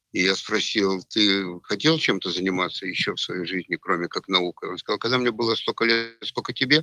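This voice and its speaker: The voice has a bright, sharp tone, a moderate pace and ordinary pitch variation, recorded with a dry, close sound and no echo. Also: man. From Ukraine, Odesa. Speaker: physicist, trader and finance educator. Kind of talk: casual interview. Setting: voice chat.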